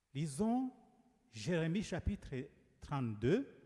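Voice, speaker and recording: A very slow pace, a dark, mellow tone, and very wide pitch swings. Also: man. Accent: Rwandan. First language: Kinyarwanda (speaking French). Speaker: preacher. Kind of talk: sermon.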